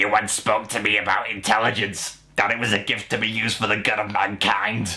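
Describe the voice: A man puts on a strained character voice, pitched fairly low. He speaks at a fairly quick pace in a monotone, flat delivery.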